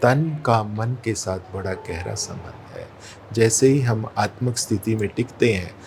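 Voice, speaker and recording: A man at a medium pitch with ordinary pitch variation, over noticeable background noise. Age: 60s. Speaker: spiritual practitioner. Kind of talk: interview.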